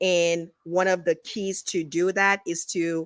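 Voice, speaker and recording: On a very clean recording with a silent background, a woman with a strong Haitian accent speaks at a fairly low pitch. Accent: Haitian Creole accent, still strong. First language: Haitian Creole. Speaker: realtor. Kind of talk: interview.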